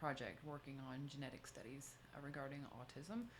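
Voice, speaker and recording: Against audible room echo, a woman talks fairly quickly at a very deep, low pitch with fairly even intonation. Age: 50s. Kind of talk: talk answering audience questions. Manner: fast.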